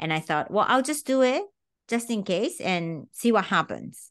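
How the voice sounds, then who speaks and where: A woman talks at a fairly slow pace with very wide pitch swings. The background is quiet. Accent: Japanese. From Japan. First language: Japanese. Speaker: tango teacher. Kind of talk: podcast interview.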